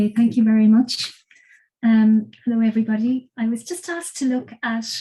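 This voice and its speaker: In an Irish accent, a woman talks with monotone, flat intonation at a fairly high pitch. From Ireland. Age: 60s. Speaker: cancer patient. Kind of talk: testimony.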